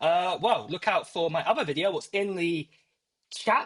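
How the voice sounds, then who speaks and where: Speaking at a moderate pace in an American accent, a man uses a high pitch. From UK. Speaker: tech YouTuber. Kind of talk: live stream giveaway chat. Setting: live stream. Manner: rambling with many fillers. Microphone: AirPods Pro used as mic.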